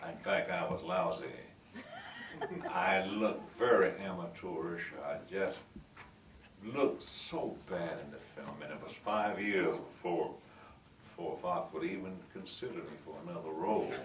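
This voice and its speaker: Amid noticeable background noise and audible room echo, a man with a strong Southern US accent talks fairly slowly with long, frequent pauses and big swings in loudness. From US South. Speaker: actor. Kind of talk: storytelling talk to audience.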